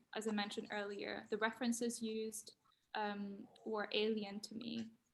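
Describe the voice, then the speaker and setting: A woman with a non-native accent talks at a fairly high pitch in a monotone, flat way. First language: not English. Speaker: design graduate. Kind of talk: panel talk. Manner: halting.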